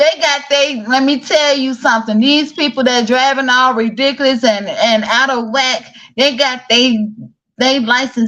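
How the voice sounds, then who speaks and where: A woman's high-pitched, fairly slow speech in a Southern US accent. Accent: country southern. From Chicago, south side, raised by southern-rooted grandparents. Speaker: online talk show host. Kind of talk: casual interview chat.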